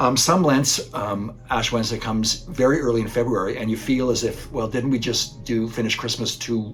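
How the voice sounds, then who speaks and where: A man talks at a moderate pace with a medium pitch and fairly even intonation. Music plays in the background, and there is audible room echo. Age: 60s. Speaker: priest. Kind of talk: recorded spiritual reflection. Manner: halting, with fillers and restarts.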